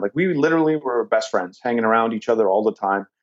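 A man talks at a very fast pace with a Canadian accent. The background is quiet. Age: 40s. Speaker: real estate investor. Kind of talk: interview.

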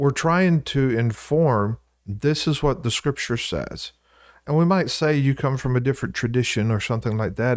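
In a Southern US accent, a man speaks at a moderate pace with lively intonation and very even loudness, in a very clean recording with a silent background. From US South, Louisiana. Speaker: co-host, church preacher. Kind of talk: casual Bible discussion.

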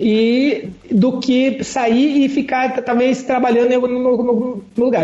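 A man speaks over noticeable background noise. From Curitiba, southern Brazil. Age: 40s. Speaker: travel writer and engineer. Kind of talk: podcast interview.

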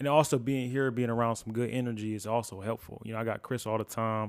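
On a very clean recording with a silent background, a man at medium pitch talks very fast with monotone, flat intonation. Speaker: video editor. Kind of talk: casual conversation.

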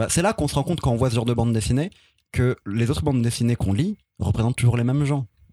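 Very fast and somewhat breathy, a man talks at medium pitch in a dark, mellow tone with ordinary pitch variation, very even loudness and a dry, close sound with no echo. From France, city estate. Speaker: podcast columnist. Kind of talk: scripted narration; casual chat.

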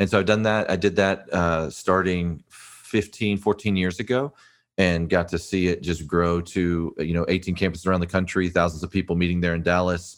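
A man's very deep, low voice with a slight Texas accent, fairly even intonation and a moderate pace. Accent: slight Texas twang. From South Texas. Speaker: pastor and author. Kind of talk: interview.

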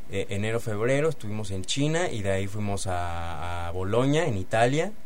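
A man's fairly low voice with a Mexican accent at a moderate pace, with noticeable background noise and audible room echo. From Mexico. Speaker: theatre actor. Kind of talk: radio interview. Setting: radio studio. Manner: halting, many fillers.

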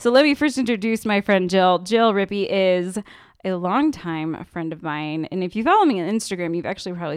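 Over a quiet background, a woman with a plain, everyday voice talks at a moderate pace and medium pitch with lively intonation. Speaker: podcast host. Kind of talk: casual interview chat.

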